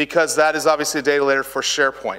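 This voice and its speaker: Bright and sharp in tone, this man's voice sits at a fairly high pitch. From Dallas, Texas. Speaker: co-presenter and SQL/SharePoint consultant. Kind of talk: technical conference lecture. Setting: conference room with audience. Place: stage.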